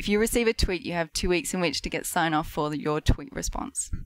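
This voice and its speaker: On a very clean, dry and close recording with a silent background and no echo, a woman speaks in an Australian accent with lively intonation. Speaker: marketing specialist. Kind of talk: casual chat. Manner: animated.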